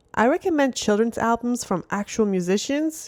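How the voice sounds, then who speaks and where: A woman speaks with a Montreal accent at a moderate pace, her fairly high voice moving in a lively way. The recording is very clean and dry, close-miked with no echo against a silent background. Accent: Canadian English (Montreal). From Montreal, Canada. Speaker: parenting vlogger. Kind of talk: tutorial.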